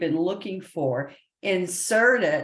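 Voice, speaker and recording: A woman with an unremarkable speaking voice, fairly low pitch, ordinary pitch variation and a fairly slow pace. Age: 50s. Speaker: spiritual consultant and past life mentor. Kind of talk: interview. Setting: live stream.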